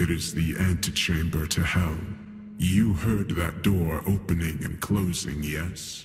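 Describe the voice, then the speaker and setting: Fairly slow and very deep, a man's put-on character voice sits very low in pitch. Clear background noise and a clear echo surround it. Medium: read story. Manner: weary, sorrowful.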